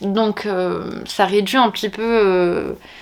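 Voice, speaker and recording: A woman at a medium pitch over noticeable background noise. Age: 30s. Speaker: teacher and book vlogger. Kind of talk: casual vlog chat. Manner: hesitant, many fillers.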